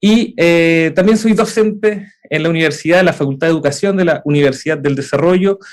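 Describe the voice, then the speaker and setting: A man with a Chilean accent, high-pitched, fairly quick, with very even loudness throughout. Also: ordinary pitch variation, hardly any pauses. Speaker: edtech startup co-founder and university lecturer. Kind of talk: conference talk. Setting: hybrid event. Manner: frequent filler 'eh' hesitations.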